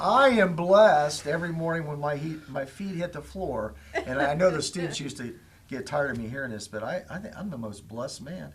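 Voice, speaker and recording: Somewhat breathy, a man with a Midwestern American accent talks at a fairly high pitch with lively intonation. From Indiana, Lafayette area. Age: 60s. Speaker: school superintendent. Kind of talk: talk show interview.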